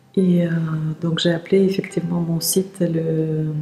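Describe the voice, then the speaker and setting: Against noticeable background noise, a woman with a fairly low voice speaks at a fairly slow pace in a monotone, flat intonation. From Siberia, Russia. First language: Russian (speaking French). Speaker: teacher of energy practice and workshop leader. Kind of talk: interview. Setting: outdoors in a park. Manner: hesitant, many fillers.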